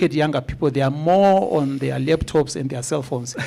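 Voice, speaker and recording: In an ordinary speaking voice, a man talks with a fairly high pitch. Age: 50s. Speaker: agricultural researcher. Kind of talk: conference presentation.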